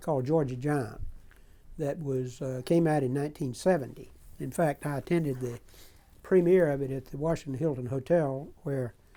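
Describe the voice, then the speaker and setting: This man talks at a moderate pace with a dark, mellow tone and fairly even intonation. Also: fairly high pitch for a man. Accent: American. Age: 80s+. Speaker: former political aide. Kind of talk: oral history interview. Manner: halting.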